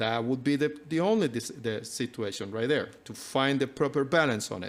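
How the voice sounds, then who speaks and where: In a very clean recording with a silent background, a man with a non-native accent speaks in a fairly high voice with ordinary pitch variation. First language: not English. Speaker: health and nutrition speaker. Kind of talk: live talk to audience. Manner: halting, many fillers.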